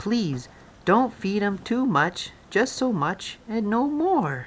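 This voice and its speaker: A man uses a put-on character voice pitched high. He speaks at a very slow pace. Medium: read story. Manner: fussy, scolding.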